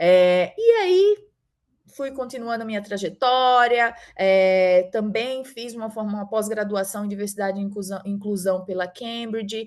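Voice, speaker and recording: Against a quiet background, a woman with a northeastern Brazilian accent speaks at a fairly slow pace, her medium-pitched voice keeping fairly even intonation. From Northeast Brazil, Mossoró, Rio Grande do Norte. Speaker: startup founder, HR professional. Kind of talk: event talk, personal career story. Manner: conversational, frequent fillers.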